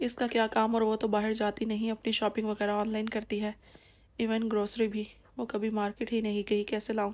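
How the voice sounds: The clip features a natural reading voice.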